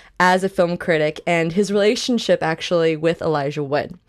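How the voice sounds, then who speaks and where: Against a quiet background, a woman talks at a moderate pace in an unremarkable speaking voice, fairly low in pitch with ordinary pitch variation. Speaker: podcast co-host. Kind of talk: casual chat. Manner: excitable.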